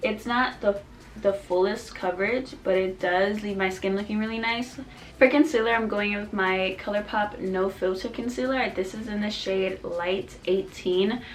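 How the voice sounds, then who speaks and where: Over noticeable background noise, a woman talks at a moderate pace with a medium pitch and fairly even intonation. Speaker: beauty vlogger. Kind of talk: makeup tutorial chat. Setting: at home, late at night. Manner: casual, chatty; quiet.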